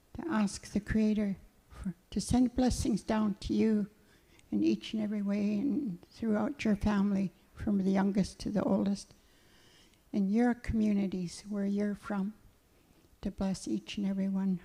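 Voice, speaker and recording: A woman's medium-pitched, dark, mellow and somewhat breathy voice, fairly slow and fairly even, with long, frequent pauses. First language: Cowichan (Hul'q'umi'num'). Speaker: elder. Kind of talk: prayer and blessing.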